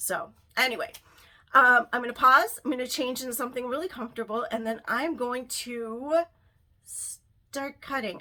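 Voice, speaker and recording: A woman speaks at a high pitch in a raised, projected voice. Her tone is bright and sharp, at a moderate pace. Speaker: lifestyle vlogger. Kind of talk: casual tutorial vlog.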